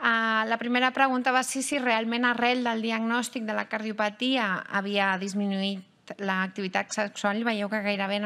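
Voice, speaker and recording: Fairly slow delivery in a bright, sharp tone, with fairly even intonation. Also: woman. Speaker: cardiologist and panel moderator. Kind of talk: panel discussion. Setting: stage with audience.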